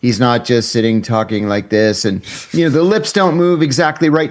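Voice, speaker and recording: The man talks in an ordinary speaking voice, keeping a moderate pace. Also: very clean recording, silent background. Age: 60s. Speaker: former intelligence officer and whistleblower. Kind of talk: casual chat.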